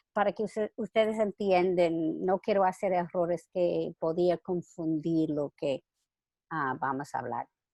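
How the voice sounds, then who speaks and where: Against a quiet background, a woman with a non-native accent speaks at a fairly slow pace, her fairly low pitch showing ordinary variation. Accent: foreign accent in Spanish. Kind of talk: religious talk read from manuscript. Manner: reading closely from script, occasional stumbles.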